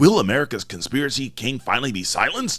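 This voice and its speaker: Doing a put-on character voice at a very fast pace, a man of medium pitch swings his pitch very widely in a very clean recording with a silent background. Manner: dramatic, announcing.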